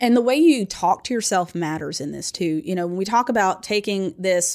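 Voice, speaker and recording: Very cleanly recorded against a silent background, a woman with a normal speaking voice talks at a fairly quick pace, her medium pitch showing ordinary variation. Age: 40s. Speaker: financial advisor and podcast co-host. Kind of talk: casual chat.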